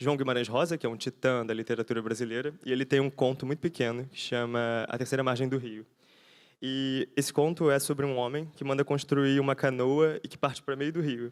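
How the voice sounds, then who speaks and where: On a very clean recording with a silent background, a man with a Rio de Janeiro accent talks at a fairly quick pace with fairly even intonation. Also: medium pitch for a man. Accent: Rio de Janeiro (carioca). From Brazil, Rio de Janeiro. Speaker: architect and researcher. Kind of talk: conference lecture. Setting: conference talk before audience. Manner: fast; halting, with fillers and restarts.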